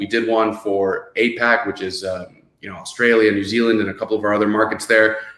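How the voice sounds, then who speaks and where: A man with a Miami accent speaks at a medium pitch. He keeps a fairly quick pace. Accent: Miami American English. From US, Miami (born in Venezuela). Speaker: podcast host, real estate executive. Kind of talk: webinar show hosting.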